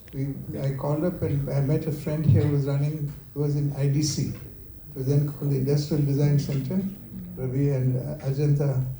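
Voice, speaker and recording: The pace is fairly quick and the intonation is monotone and flat. The room echo is audible. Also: man, fairly high pitch for a man. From India, Kerala. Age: 70s. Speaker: company founder. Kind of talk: talk with Q&A. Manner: halting.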